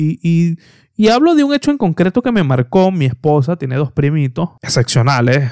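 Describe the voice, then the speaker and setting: Fairly high-pitched, a man talks at a moderate pace with lively intonation and an animated tone, in a dry, close sound with no echo. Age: 20s. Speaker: podcast host. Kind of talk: casual solo podcast monologue.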